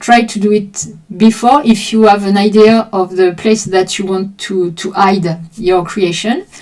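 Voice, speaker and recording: Someone with a French accent speaks at a fairly slow pace with fairly even intonation. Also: woman, medium pitch for a woman. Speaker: art teacher streaming drawing sessions. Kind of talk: live stream explanation to chat. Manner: halting.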